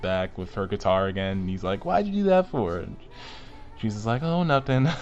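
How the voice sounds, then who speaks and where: A man speaks at a medium pitch. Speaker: anime reviewer. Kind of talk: casual video review monologue. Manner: fast; halting, many fillers and restarts.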